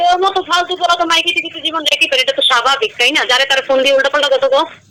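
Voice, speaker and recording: Over noticeable background noise, a woman speaks in a raised, projected voice with a Barishal accent. Her pitch is high, with ordinary variation. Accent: Barishal Bengali dialect. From Barishal, Bangladesh. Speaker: prank call target. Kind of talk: heated phone argument.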